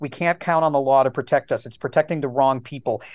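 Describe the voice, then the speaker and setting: Fairly even intonation against a quiet background. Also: man. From Wisconsin, US. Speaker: historian, professor. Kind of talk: interview, analytical commentary. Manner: frequent fillers, hesitant.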